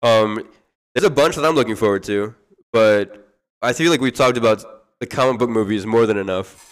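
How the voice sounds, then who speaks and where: This man has a normal speaking voice at a medium pitch. He moves at a fairly quick pace with ordinary pitch variation. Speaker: podcast host. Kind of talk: casual chat. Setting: live stream. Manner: joking, playful.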